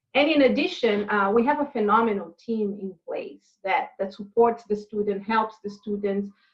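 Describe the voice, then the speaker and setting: With a non-native accent, a woman speaks at a moderate pace in a fairly high pitch, hardly pausing at all. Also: ordinary pitch variation. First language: not English. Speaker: university international programs director. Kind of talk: interview. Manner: halting, many fillers.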